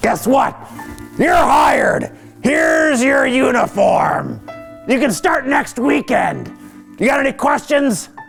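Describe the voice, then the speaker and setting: A man speaks in a put-on character voice, with clear music in the background. He goes at a fairly slow pace with long, frequent pauses. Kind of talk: horror host banter. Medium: comedy sketch. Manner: folksy, joking.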